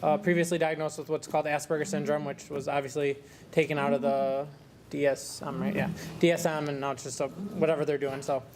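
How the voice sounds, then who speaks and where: A man talks at a very fast pace in an American accent. His pitch is fairly high and his intonation fairly even. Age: 20s. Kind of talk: personal talk at a conference. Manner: loud; halting, many fillers.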